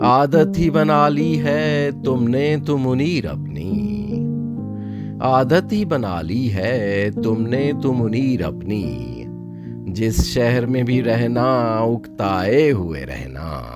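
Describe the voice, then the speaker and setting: Over music in the background, a man with a fairly low pitch makes very wide pitch swings. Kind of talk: poetry reading. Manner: calm, tranquil.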